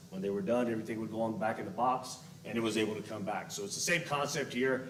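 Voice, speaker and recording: Over noticeable background noise and audible room echo, a man speaks very fast at a medium pitch with ordinary pitch variation. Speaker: JROTC instructor, military veteran. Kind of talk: presentation at board meeting. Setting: public board meeting, no mic. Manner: loud.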